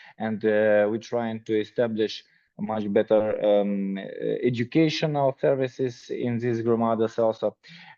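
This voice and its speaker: A man speaks with a Ukrainian accent. His pitch is medium and his pace fairly slow. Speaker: nonprofit department director. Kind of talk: self-introduction in video call. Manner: halting, many fillers.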